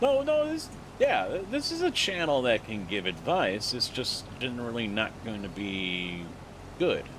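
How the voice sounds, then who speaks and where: A man talks at a fairly slow pace. The room echo is audible. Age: 40s. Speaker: gaming streamer. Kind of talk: live stream chat. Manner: casual, conversational.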